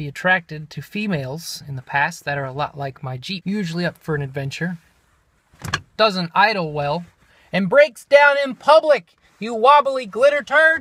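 A man's high-pitched, energetic voice with an American accent, very wide pitch swings, a moderate pace and dry sound with no echo. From American, southern. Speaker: radio personality audition, welder, comedian. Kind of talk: radio audition, comedic monologue. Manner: comedic, quirky, energetic. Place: car. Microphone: phone near.

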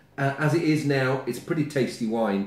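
The speech shows ordinary pitch variation, with audible room echo. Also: man. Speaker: wine reviewer. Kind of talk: casual tasting review to camera. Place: home room. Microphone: camera far.

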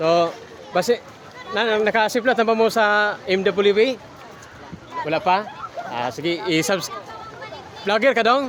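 With crowd noise in the background, a high-pitched man talks at a fairly slow pace, using ordinary pitch variation and long, frequent pauses. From Lanao del Norte, Mindanao, Philippines. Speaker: travel vlogger. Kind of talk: vlog walkthrough. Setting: outdoors. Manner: animated.

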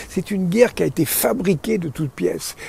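This man talks at a fairly quick pace in a high pitch. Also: dry sound with no echo. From France. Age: 80s+. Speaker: physicist and astrophysicist. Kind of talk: interview answer. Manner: energetic. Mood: earnest, concerned. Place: garden. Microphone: lapel.

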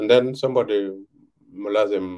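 A man speaks with a South Sudanese accent and a dark, mellow tone. The background is quiet. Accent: South Sudanese (Dinka) English. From South Sudan, Twic East (Jonglei). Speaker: veteran journalist and author. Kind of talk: interview. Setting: video call. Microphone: video call.

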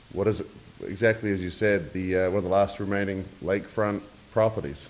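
At a moderate pace, a man with a slight New Zealand accent speaks in a fairly low voice with fairly even intonation. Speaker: real estate developer. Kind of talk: public presentation at a zoning hearing. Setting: city commission meeting. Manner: hesitant, many fillers.

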